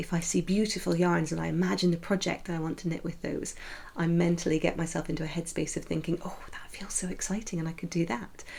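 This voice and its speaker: Vocal fry runs through a woman's fairly low voice. She talks at a very fast pace. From Scotland, Scottish Borders and Edinburgh. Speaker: knitting podcaster. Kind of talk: casual vlog monologue. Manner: chatty, with frequent hesitations.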